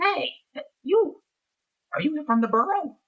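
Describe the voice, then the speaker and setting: A high, put-on character voice with very wide pitch swings, at a fairly slow pace. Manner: squawking.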